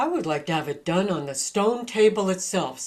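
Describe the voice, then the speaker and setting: Using a put-on character voice, a woman talks at a moderate pace with a medium pitch. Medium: read story. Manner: imperious, scornful.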